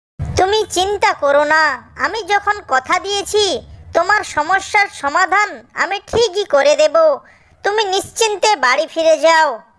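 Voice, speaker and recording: This cartoonish character voice is pitched extremely high. It moves at a fairly slow pace. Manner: gentle, kindly.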